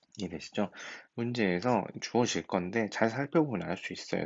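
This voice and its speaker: A man mumbling at a fairly quick pace with lively intonation. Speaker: high school math teacher. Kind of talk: recorded lecture. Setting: recorded at home at night.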